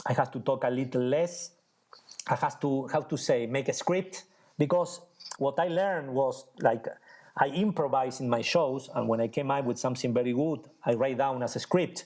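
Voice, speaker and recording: A man with an Argentine accent at a fairly high pitch, moderate pace and ordinary pitch variation, on a very clean recording with a silent background. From Argentina. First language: Spanish. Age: 40s. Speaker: magician. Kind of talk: interview conversation. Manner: halting, searching for words.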